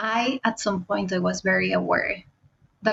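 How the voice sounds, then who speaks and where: A woman is speaking. She has a non-native accent. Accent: foreign, non-British. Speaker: fintech product leader. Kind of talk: interview conversation.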